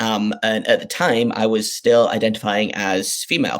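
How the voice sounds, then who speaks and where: A man is speaking. He has a northeast English accent. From northeast England. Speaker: sports podcast host. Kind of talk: interview. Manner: casual, hesitant with fillers.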